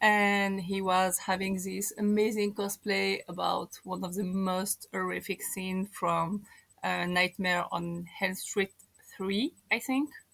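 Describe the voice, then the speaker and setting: A woman with a strong French accent speaks very slowly at a medium pitch, her intonation fairly even. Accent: thick French. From France, Moroccan parents. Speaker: podcast guest. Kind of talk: casual chat.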